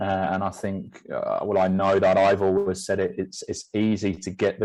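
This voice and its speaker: Monotone, flat intonation is delivered at a moderate pace. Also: man. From England; Northeast, then Stevenage. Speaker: football technical director. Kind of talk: interview. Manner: halting, many fillers and repeats.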